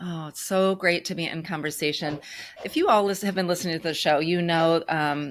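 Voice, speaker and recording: A woman talks at a fairly quick pace in a normal speaking voice, fairly low in pitch, with fairly even intonation. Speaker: grief podcast host. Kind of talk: podcast interview host.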